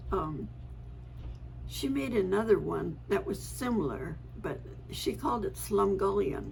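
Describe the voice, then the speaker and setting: A woman speaks at a fairly slow pace with long, frequent pauses. Room echo and noticeable background noise can be heard. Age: 80s+. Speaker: family storyteller vlogger. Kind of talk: casual reminiscing monologue. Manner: halting with fillers.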